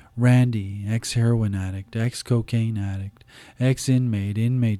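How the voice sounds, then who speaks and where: A man's dark, mellow voice, fairly low in pitch, at a fairly slow pace with monotone, flat intonation, dry and close with no echo on a very clean recording against a silent background. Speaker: poet. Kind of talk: spoken-word poetry reading, rhythmic and incantatory with a repeated refrain. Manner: deliberate cadence, lingering on gritty list-like imagery; hesitant and conversational in the intro, with fillers.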